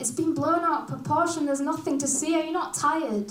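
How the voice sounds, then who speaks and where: A woman with a Yorkshire accent speaks in a high voice with fairly even intonation, and room echo is audible. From Hull, Yorkshire, northern England. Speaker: performance poet. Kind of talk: casual stage banter; spoken word poetry performance.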